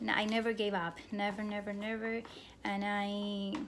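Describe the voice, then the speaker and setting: In a Cuban accent, a woman speaks at a fairly slow pace with a fairly high pitch and monotone, flat intonation. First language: Spanish. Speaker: graduate program applicant. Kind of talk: admissions interview answers, self-recorded. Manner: hesitant, many fillers and restarts.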